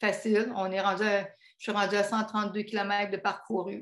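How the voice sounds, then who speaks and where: A woman's voice at a medium pitch. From Quebec. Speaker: pilgrim giving a talk. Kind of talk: travel talk. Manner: hesitant, many filler sounds.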